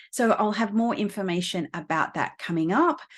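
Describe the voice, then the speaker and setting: In an Australian accent, a woman speaks at a moderate pace with ordinary pitch variation against a quiet background. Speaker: astrologer and astrology teacher. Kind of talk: casual explanatory video talk to camera; course promotion. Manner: many fillers (um, uh, you know).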